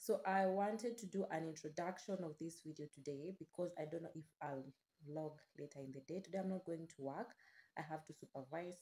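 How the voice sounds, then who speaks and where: At a fairly quick pace, a woman speaks in a fairly low pitch with a dark, mellow tone and ordinary pitch variation. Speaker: vlogger. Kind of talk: casual vlog chat. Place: home room. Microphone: phone near.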